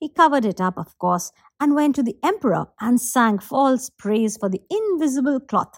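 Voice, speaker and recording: A woman's high voice with very wide pitch swings, at a moderate pace, in a dry, close sound with no echo. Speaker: professional storyteller. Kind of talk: fairy-tale narration, storytelling performance.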